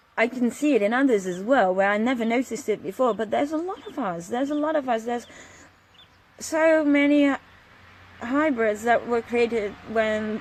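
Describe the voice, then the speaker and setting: Against noticeable background noise, a woman talks fairly quickly at a fairly high pitch with ordinary pitch variation. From Netherlands, Friesland. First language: Frisian and Dutch. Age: 30s. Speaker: vlogger on spiritual topics. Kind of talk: casual monologue vlog. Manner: hesitant, many fillers.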